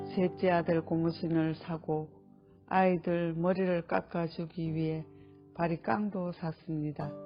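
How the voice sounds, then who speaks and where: A woman at a very slow pace with fairly even intonation, music in the background. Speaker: adult literacy student. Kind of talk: reading of own life essay.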